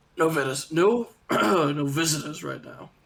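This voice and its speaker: Over faint background music, a man performs a raspy, put-on character voice at a fairly high pitch and a moderate pace. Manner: curt.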